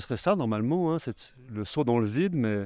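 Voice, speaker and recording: Over a dry sound with no echo, a man with a dark, mellow tone speaks at a moderate pace with very wide pitch swings. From Haute-Savoie, France. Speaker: film director and novelist. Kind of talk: interview. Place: hall. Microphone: handheld.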